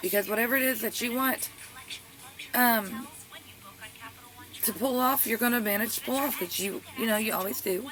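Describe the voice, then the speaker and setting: Noticeable background noise runs under speech at a moderate pace marked by long, frequent pauses. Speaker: tarot reader. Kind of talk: tarot reading. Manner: stuttering.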